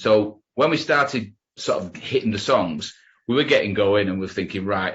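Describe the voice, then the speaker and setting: The speaker is a man with a regional English accent. His pitch sits fairly low. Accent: broad regional English. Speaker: rock musician. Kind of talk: interview.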